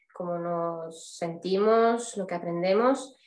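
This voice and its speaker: The speech moves at a very slow pace. The pitch varies in an ordinary way. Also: woman. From Spain, Barcelona. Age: 30s. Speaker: artist. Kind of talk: interview.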